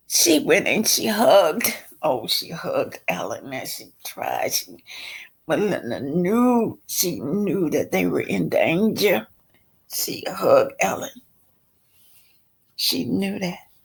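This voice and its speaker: A raspy woman speaks at a fairly slow pace. Long, frequent pauses break up her speech. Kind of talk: book reading with asides. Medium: read story. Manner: conversational, emphatic, addresses listeners as y'all.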